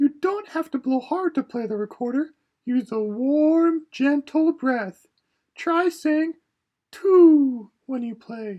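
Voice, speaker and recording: A put-on character voice with a high pitch and a fairly slow pace, over a quiet background. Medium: read story. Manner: patient, gentle.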